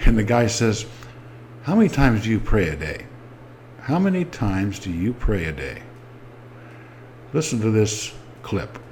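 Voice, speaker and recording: With audible room echo around him, a man speaks at a moderate pace and fairly low pitch, his voice swinging very widely in pitch. He leaves long, frequent pauses. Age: 70s. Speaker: war veteran and ex-Jehovah's Witness vlogger. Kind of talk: personal testimony.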